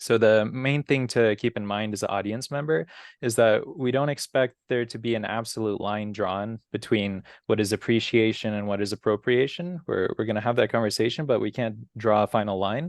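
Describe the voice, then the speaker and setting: This is a normal speaking voice from a man at medium pitch with ordinary pitch variation. The sound is dry and close, with no echo. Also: moderate pace. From US, immigrant family from Brazil. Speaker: community organization president, moderator. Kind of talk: moderated interview.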